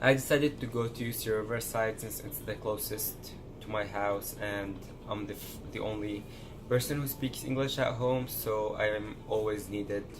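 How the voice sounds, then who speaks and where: Speaking at a moderate pace with an Arabic accent, a man keeps his fairly low voice fairly even in intonation, with audible room echo around him. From Syria. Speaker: pre-med college student vlogger. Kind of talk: casual vlog monologue.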